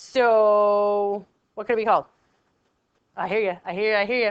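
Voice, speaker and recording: A woman of medium pitch at a fairly slow pace. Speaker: teacher. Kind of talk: tutorial. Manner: casual, conversational.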